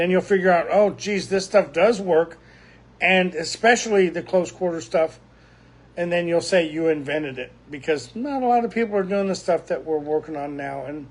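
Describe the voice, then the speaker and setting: This man's voice sits high in pitch, with ordinary pitch variation and a moderate pace. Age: 60s. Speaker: martial arts instructor. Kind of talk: video lecture. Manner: halting.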